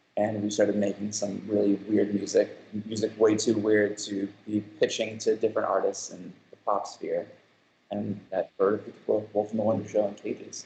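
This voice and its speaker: At a moderate pace, a man speaks in a strong New York accent. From Long Island, New York. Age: 30s. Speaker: music producer and show creator. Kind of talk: casual interview chat. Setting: video call live stream from office.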